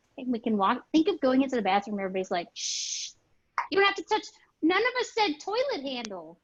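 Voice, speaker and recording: A high-pitched woman with a Midwestern accent, animated and very fast, with very wide pitch swings. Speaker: webinar host. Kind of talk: panel webinar discussion.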